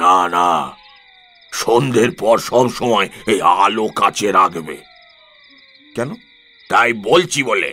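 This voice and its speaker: A man puts on a character voice at medium pitch. He speaks very slowly. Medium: audio drama. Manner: insistent, repetitive.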